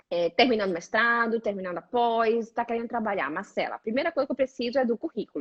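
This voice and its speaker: Speaking at a very fast pace in a Brazilian accent, a woman uses lively intonation and a fairly high pitch. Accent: Brazilian accent in Italian. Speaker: career coach. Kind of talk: casual chat.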